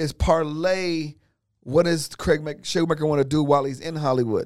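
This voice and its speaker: A normal speaking voice from a man, fairly high in pitch, with an American accent, at a moderate pace. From US West (California, Inglewood area). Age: 50s. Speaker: comedian and former talk show host. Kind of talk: casual chat.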